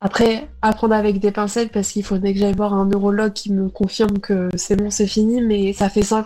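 Speaking fairly quickly at a medium pitch, a woman keeps a monotone, flat intonation and very even loudness, with hardly any pauses. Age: 20s. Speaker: epilepsy patient. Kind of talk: recorded testimony. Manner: halting.

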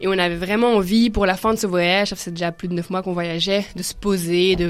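In an ordinary speaking voice, a woman of medium pitch talks at a moderate pace with fairly even intonation. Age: 20s. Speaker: student, backpacker. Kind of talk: radio talk show discussion.

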